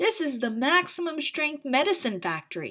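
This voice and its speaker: A woman puts on a character voice, pitched high with very wide pitch swings, delivered at a moderate pace. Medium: read story.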